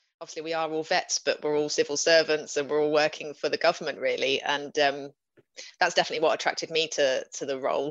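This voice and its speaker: In a southern English accent, a woman talks at a very fast pace. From southern England, West Sussex. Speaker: veterinarian, operations manager. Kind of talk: panel discussion.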